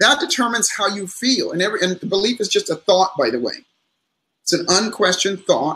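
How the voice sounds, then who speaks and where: A man's raised, projected voice, high-pitched, bright and sharp, with lively intonation and a fairly quick pace. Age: 60s. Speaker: psychologist and motivational speaker. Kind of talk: interview on live stream. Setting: live stream call.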